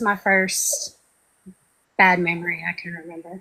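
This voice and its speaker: The speaker is soft-spoken, with a bright, sharp tone. Intonation is monotone and flat, the pace fairly slow. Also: woman. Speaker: trauma survivor guest. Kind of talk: testimony. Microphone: breaking up, too quiet.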